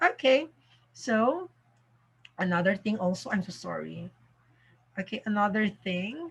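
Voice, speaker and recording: Her voice is somewhat breathy, medium in pitch, with lively intonation. The woman talks at a fairly slow pace, leaving long, frequent pauses. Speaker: math teacher. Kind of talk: tutorial. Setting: home recording in the evening. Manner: soft-spoken.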